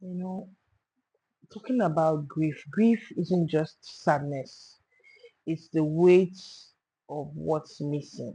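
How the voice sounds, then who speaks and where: A woman speaks at a very slow pace with long, frequent pauses, her very deep, low pitch carrying a dark, mellow tone. Her voice is somewhat breathy, with ordinary pitch variation and big swings in loudness. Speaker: podcast host. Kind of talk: podcast interview host.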